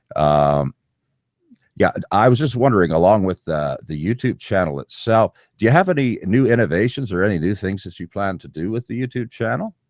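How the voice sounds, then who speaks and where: An unremarkable speaking voice, a man's and fairly low, moves at a fairly quick pace with lively intonation, dry and close with no echo. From Canada. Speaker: podcast host. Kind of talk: interview.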